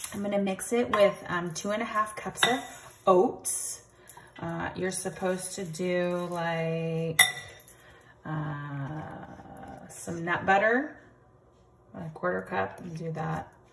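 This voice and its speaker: Over music in the background, a woman talks at a very slow pace with long, frequent pauses and ordinary pitch variation. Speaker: home cooking vlogger. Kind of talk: casual cooking tutorial. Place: kitchen. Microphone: phone near.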